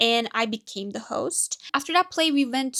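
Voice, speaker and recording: With a non-native accent, a woman speaks at a moderate pace in a high pitch with ordinary variation. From Turkey. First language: Turkish. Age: 20s. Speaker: vlogger. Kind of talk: personal monologue. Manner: halting.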